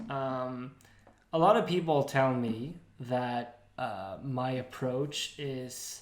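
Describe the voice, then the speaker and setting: A man speaks at a very slow pace in an American accent. Audible room echo surrounds the voice. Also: medium pitch for a man, ordinary pitch variation. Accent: American-sounding English. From Sweden. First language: Swedish. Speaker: podcast co-host. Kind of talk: casual chat.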